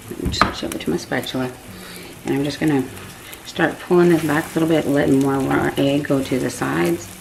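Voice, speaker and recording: A woman with an American accent speaks at a very deep, low pitch and a moderate pace, using lively intonation. Long, frequent pauses break up her speech amid noticeable background noise. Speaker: home cooking vlogger. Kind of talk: cooking tutorial. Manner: casual, chatty.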